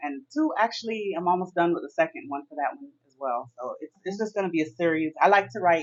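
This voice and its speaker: A woman with a Miami accent, fairly low in pitch, at a fairly quick pace with hardly any pauses, very wide pitch swings and big swings in loudness. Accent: American English, Miami. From Miami, Florida (Jamaican parents). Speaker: author. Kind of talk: interview.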